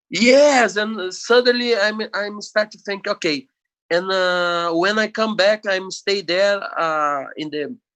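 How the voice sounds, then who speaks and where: Speaking at a very slow pace in a Brazilian Portuguese accent, a man with a high pitch and a bright, sharp tone shows ordinary pitch variation over a quiet background. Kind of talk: podcast interview. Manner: halting.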